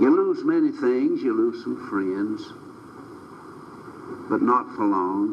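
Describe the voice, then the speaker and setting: A man speaks at a very slow pace with long, frequent pauses, amid noticeable background noise and audible room echo. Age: 80s+. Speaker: preacher. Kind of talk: sermon.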